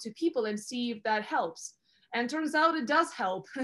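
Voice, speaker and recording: A woman's voice with a Russian accent. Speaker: career advisor. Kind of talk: interview. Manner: energetic.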